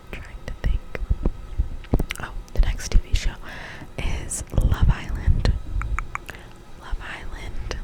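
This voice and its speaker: Noticeable background noise sits under a woman who whispers very slowly. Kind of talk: ASMR whisper ramble to camera. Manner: whispered, soft-spoken, slow.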